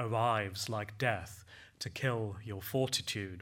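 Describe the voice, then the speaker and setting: This man has a normal speaking voice. He talks at a fairly slow pace with ordinary pitch variation. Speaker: poet. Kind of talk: poetry reading. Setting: stage with audience.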